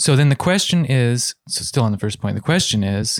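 A man at a medium pitch with an American accent, an unremarkable speaking voice, ordinary pitch variation and a dry, close sound with no echo. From US Midwest, Ohio. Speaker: podcast co-host. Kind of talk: casual political discussion.

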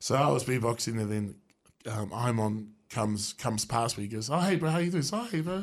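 Speaking with a New Zealand accent, a man talks at a fairly quick pace and medium pitch with lively intonation. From New Zealand, Wellington. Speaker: beatboxer and street musician. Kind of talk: radio interview. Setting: radio studio. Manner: halting.

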